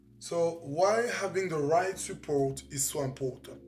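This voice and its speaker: In a French accent, a man speaks at a fairly slow pace with lively intonation. Music plays in the background. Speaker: life coach, professional boxer. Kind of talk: motivational talk to camera.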